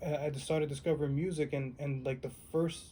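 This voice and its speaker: A man speaks with a fairly high pitch. His voice is somewhat breathy, with a dark, mellow tone. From New York City, South Bronx. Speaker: musician. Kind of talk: oral history interview. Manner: casual, animated.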